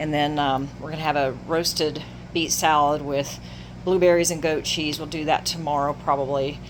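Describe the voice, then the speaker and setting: A woman with a very deep, low pitch speaks in a monotone, flat way. There is audible room echo along with noticeable background noise. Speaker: RV travel vlogger. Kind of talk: casual vlog home tour. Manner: fast.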